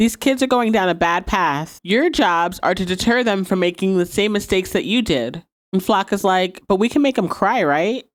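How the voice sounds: The voice is a natural reading voice. The background is quiet.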